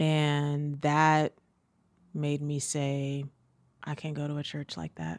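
Someone with an American accent speaks at a very slow pace in a monotone, flat intonation with long, frequent pauses, in a very clean recording with a silent background. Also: woman, very deep, low pitch for a woman. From US South. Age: 30s. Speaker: author and spoken word artist. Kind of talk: casual chat. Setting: studio.

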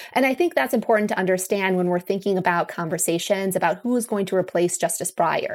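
A woman talks at a very fast pace with hardly any pauses, very even loudness, medium pitch, and ordinary pitch variation. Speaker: law professor. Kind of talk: interview.

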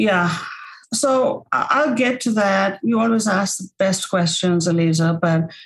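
A woman at medium pitch, somewhat breathy, at a fairly slow pace with lively intonation. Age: 60s. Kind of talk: podcast interview.

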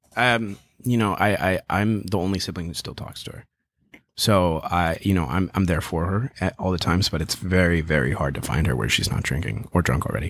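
Lively intonation marks this man's very deep, low voice, which has vocal fry. He talks at a fairly quick pace. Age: 20s. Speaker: social media creator. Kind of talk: casual chat.

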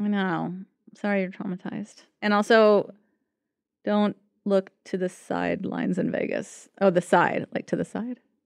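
Over a quiet background, a woman with an American accent speaks at a moderate pace and a medium pitch in a monotone, flat intonation. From Los Angeles, US. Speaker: psychotherapist. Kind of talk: casual chat.

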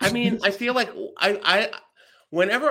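Here a man speaks at a moderate pace. The recording is very clean, with a silent background. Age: 40s. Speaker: comedian. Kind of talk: casual chat.

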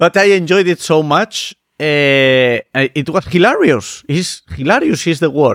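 A man with an unremarkable speaking voice at a fairly high pitch, a fairly slow pace, very even loudness and ordinary pitch variation, in a dry, close sound with no echo. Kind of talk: casual chat.

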